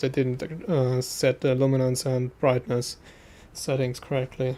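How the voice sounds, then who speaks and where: A man speaks at a medium pitch with a German accent. His intonation stays fairly even. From Austria. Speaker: gaming streamer. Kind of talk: casual live stream chat. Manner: hesitant, many fillers.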